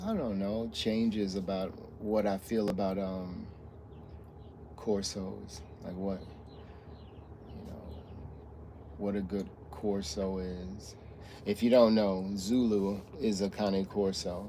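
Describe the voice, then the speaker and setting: Mumbling at a very slow pace with long, frequent pauses, a man speaks at a fairly low pitch and fairly even intonation amid audible room echo. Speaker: streamer talking about his dog. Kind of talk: casual livestream chat. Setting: livestream from a truck stop. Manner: halting.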